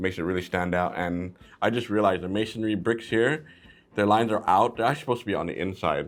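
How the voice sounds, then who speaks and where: Over music in the background, a man with a fairly low pitch talks at a very fast pace in an animated tone with ordinary pitch variation. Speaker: toy reviewer. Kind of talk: product review. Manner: casual, animated.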